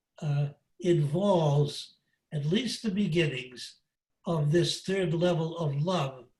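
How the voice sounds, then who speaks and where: A man talks very slowly, and his pitch variation is ordinary. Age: 80s+. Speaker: priest and spiritual teacher. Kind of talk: lecture. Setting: video call. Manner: halting.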